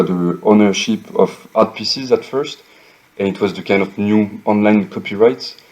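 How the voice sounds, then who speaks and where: There is noticeable background noise as a man talks with a French accent. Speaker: architect and NFT project co-founder. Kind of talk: interview. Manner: hesitant, many fillers.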